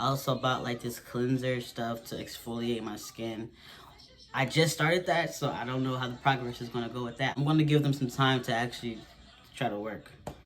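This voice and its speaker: Fairly quick speech with fairly even intonation over noticeable background noise. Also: man, medium pitch for a man. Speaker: vlogger. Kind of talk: casual Q&A vlog. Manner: casual, halting with restarts.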